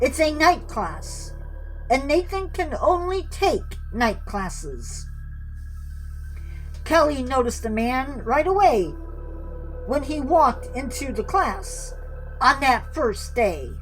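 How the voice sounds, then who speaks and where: A put-on character voice with a high pitch moves at a fairly slow pace, with long, frequent pauses and clear music in the background. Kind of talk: horror narration. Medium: read story. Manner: theatrical, teasing.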